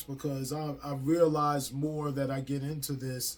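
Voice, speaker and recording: A man with a fairly high voice speaks at a fairly slow pace. Noticeable background noise is present. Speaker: spiritual teacher. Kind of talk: casual spiritual talk. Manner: stutter; freestyle, loose delivery.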